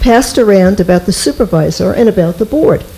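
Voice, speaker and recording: Lively intonation from a woman at an even, moderate speed, with clearly audible noise behind her. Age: 70s. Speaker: resident speaking at public comment. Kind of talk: reading a prepared statement. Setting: town board meeting.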